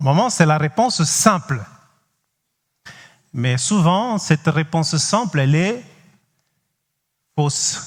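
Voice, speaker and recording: A man with a Cape Verdean accent talks at a very slow pace. His pitch is fairly high and his intonation lively. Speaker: pastor. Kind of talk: sermon. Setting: church. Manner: halting, frequent hesitations.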